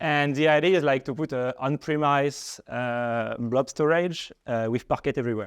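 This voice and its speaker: A man with a French accent and fairly high pitch, at a moderate pace with hardly any pauses and ordinary pitch variation, in a dry, close sound with no echo over a quiet background. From France. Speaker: data engineer. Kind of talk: tech presentation. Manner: hesitant, many fillers.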